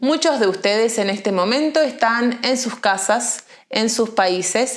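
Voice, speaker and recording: A woman with a Buenos Aires accent and a fairly high pitch. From Argentina, Buenos Aires. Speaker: Spanish teacher. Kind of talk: language lesson monologue. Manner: slow; clear.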